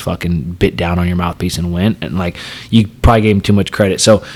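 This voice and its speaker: The speaker is a man. His pitch holds fairly even throughout. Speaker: professional fighter. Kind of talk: casual chat. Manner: loud.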